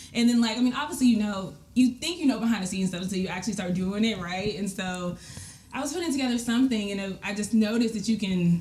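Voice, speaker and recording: A woman with an American accent, an animated tone, somewhat breathy delivery, ordinary pitch variation, and a very fast pace. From DMV area (Washington DC region), US. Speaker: live event producer. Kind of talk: casual interview chat. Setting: home basement podcast studio. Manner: animated, filler-heavy.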